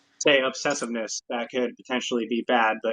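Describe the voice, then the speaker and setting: Here a man talks at a very fast pace with a slight Texas accent. His intonation is monotone and flat. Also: dry, close sound with no echo. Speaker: GIS analyst. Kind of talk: casual chat.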